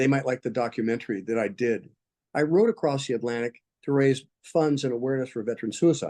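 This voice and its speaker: A man speaks at a very fast pace in a medium pitch. His tone is dark and mellow, with ordinary pitch variation. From United States. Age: 70s. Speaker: military veteran and mind coach. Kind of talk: interview conversation.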